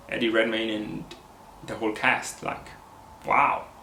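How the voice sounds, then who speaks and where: Noticeable background noise and audible room echo accompany a man speaking at a medium pitch and a moderate pace. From Switzerland. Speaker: film reviewer. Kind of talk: film review vlog.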